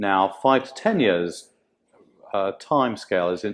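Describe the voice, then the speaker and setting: A man with a British accent speaks in a fairly low pitch at a fairly slow pace, with ordinary pitch variation. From UK. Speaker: tech company chief architect. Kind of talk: interview. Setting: live in-person event. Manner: halting. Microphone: poor audio quality.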